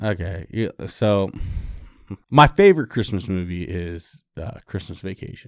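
Over a very clean recording with a silent background, a man with a very deep, low pitch speaks at a fairly slow pace, showing ordinary pitch variation and big swings in loudness. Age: 30s. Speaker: podcast co-host. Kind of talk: casual chat.

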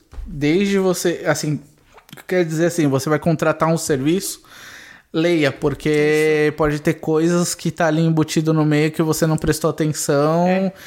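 Using a normal speaking voice, a man with fairly high pitch talks at a moderate pace with fairly even intonation. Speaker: podcast co-host. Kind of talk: casual chat.

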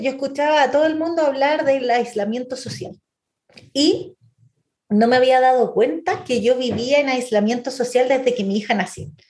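Speaking at a fairly slow pace, a woman uses lively intonation in a high voice. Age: 40s. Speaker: UX designer. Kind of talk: interview. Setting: remote call.

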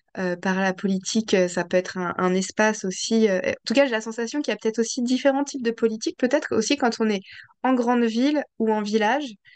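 Moderate pace and ordinary pitch variation in an unremarkable speaking voice from a woman. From Paris region, France. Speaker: podcast host. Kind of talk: interview conversation.

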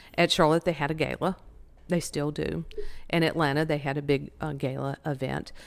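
A woman's very deep, low voice with vocal fry and a Southern US accent, monotone and flat in intonation at a moderate pace, in a very clean recording with a silent background. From North Carolina, Winston-Salem. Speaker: charity director. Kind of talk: interview.

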